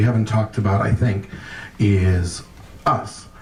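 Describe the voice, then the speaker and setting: Noticeable background noise sits behind a man with a fairly low pitch. He talks at a moderate pace with ordinary pitch variation. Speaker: monologist and storyteller. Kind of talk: speech at a public event. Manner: impassioned, profane.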